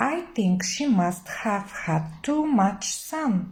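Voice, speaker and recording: A put-on character voice moves at a very slow pace with very wide pitch swings and audible hissing. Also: woman, medium pitch for a woman. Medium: read story.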